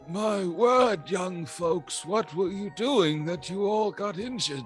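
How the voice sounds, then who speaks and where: A man's high-pitched, put-on character voice at a fairly slow pace over clear background music. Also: ordinary pitch variation. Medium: actual play. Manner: fussy, old-fashioned.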